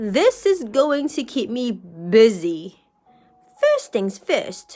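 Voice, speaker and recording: A woman's put-on character voice, high-pitched, with very wide pitch swings, a very slow pace, and faint music in the background. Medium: read story. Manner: bright, eager.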